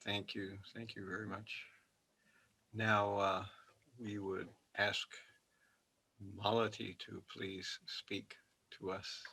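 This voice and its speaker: Soft-spoken and very slow, a man with a fairly low pitch and a bright, sharp tone talks in a monotone, flat intonation, leaving long, frequent pauses. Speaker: monk moderator. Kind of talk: event moderation. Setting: video call.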